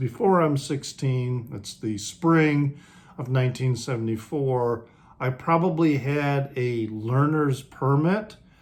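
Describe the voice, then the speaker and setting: A somewhat breathy, fairly high male voice with an American accent, very slow, with ordinary pitch variation. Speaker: music video creator. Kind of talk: casual talk to camera. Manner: casual, hesitant.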